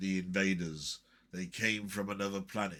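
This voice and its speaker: Using a put-on character voice, a man speaks at a moderate pace with a fairly low pitch and monotone, flat intonation. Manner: dramatic, ominous.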